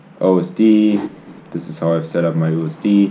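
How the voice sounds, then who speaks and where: With audible room echo, a man speaks at a moderate pace in a very deep, low pitch. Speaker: drone racing pilot, video creator. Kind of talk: tutorial. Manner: casual, halting with fillers.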